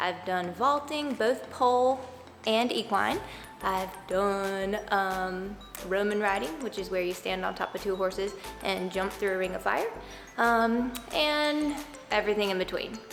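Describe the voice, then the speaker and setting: Music plays in the background behind a woman's voice. She speaks at a medium pitch with ordinary pitch variation. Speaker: horse trainer. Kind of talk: instructional talk to camera.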